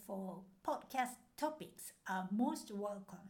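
Very wide pitch swings mark the speech of a woman with a Japanese accent. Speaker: language teacher podcaster. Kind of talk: podcast monologue, language lesson.

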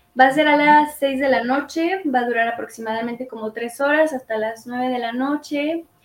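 A woman at a fairly slow pace, high in pitch, with ordinary pitch variation. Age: 20s. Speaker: women's circle facilitator. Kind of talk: interview.

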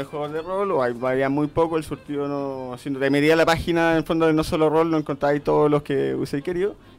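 A man with a fairly high pitch talks at a very fast pace with hardly any pauses. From Chile, Coquimbo. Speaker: role-playing game distributor. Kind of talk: casual chat.

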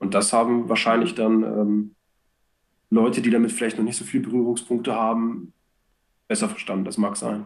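A man at medium pitch and a moderate pace. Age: 30s. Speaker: church street evangelist, sales background. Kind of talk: casual chat.

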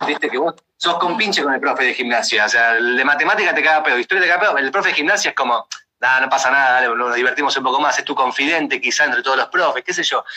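Very fast and lively in intonation, a man talks with a Rioplatense accent. His pitch is fairly high and his loudness very even. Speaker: podcast host. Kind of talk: casual chat.

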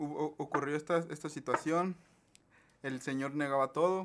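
A man talks in a normal speaking voice at a fairly high pitch. His pace is fairly slow. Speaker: podcast host. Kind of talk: casual chat.

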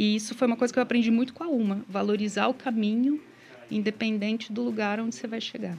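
Her intonation fairly even, a woman talks at a very fast pace in a somewhat breathy voice. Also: fairly high pitch for a woman. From Paraná, Brazil (small town of 5,000). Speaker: singer-songwriter. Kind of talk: live radio interview. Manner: calm, soothing.

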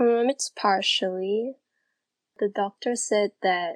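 Against a quiet background, the speech comes very slowly with fairly even intonation, in a dry, close sound with no echo. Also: woman. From Singapore. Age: 18. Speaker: gymnastics judge and former elite gymnast. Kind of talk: interview.

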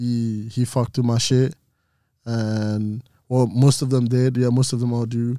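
A man speaks at a fairly slow pace in a dark, mellow tone with monotone, flat intonation, on a very clean recording with a silent background. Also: medium pitch for a man. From Belgium. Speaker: clothing brand creator. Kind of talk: casual chat.

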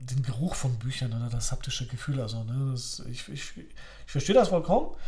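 His voice somewhat breathy, a man speaks with a fairly high pitch and a dark, mellow tone. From Poland, Upper Silesia (moved to Germany around age 10). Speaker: author and teacher, podcast co-host. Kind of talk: casual chat. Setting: studio-like home recording, sitting opposite co-host.

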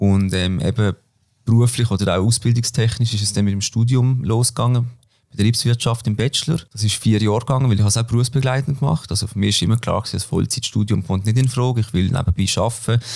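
A man races through his words very fast, his voice somewhat breathy. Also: medium pitch for a man, ordinary pitch variation. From Switzerland, Basel-Land. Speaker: former cyclist and business student. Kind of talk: interview. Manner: hesitant, many fillers.

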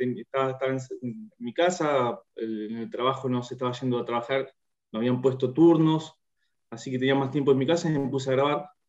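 At a fairly quick pace, a man talks in a fairly high voice. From Argentina, Bahía Blanca. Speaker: singer-songwriter. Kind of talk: interview. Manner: halting, many repetitions and fillers.

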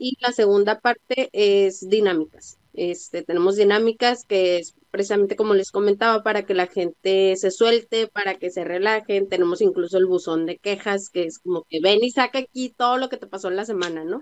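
At a moderate pace, a woman uses a normal speaking voice at a medium pitch with ordinary pitch variation, the sound dry and close with no echo. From Tijuana, Mexico. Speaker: podcast host. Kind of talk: casual chat. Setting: remote recording.

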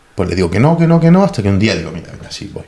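A man talks with very wide pitch swings. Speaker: expat software professional. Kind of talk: casual chat. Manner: halting, many repetitions.

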